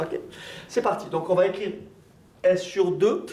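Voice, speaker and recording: With audible room echo and noticeable background noise, a man with high pitch and lively intonation speaks at a fairly slow pace. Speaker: maths teacher. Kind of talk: lecture.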